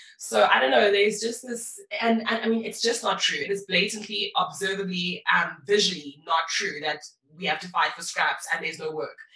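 Animated and enthusiastic, a woman speaks with lively intonation against noticeable background noise. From Eastern Cape, South Africa. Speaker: social media coach and influencer. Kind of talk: casual interview chat. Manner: animated, enthusiastic.

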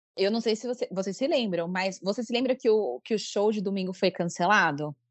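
A woman with an unremarkable speaking voice talks at medium pitch. Her intonation is lively and her pace moderate. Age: 30s. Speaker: coworking space manager and fan. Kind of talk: casual chat.

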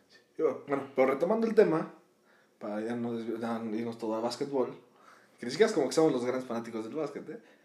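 A man speaks at a very fast pace with a medium pitch and a dark, mellow tone, his intonation lively. Long, frequent pauses break up his speech, and audible echo fills the room. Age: 20s. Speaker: podcast co-host. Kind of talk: casual chat.

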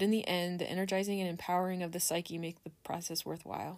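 A woman with a fairly low pitch speaks at a fairly quick pace and keeps her intonation fairly even. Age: 40s. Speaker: astrology vlogger. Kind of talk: reading aloud; casual chat. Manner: halting.

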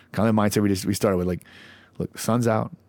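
On a very clean recording with a silent background, a man talks at a very fast pace in a flat monotone. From US Midwest (Lawrence, Kansas). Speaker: army veteran and leadership speaker. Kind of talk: casual chat.

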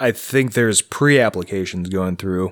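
Fairly low male pitch, with pitch that moves up and down in an ordinary way. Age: 30s. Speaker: podcast co-host. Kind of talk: casual chat.

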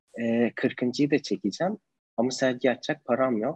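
A man speaks at a moderate pace with a medium pitch. The sound is dry and close, with no echo. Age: 20s. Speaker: photographer. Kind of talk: online interview. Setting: video call.

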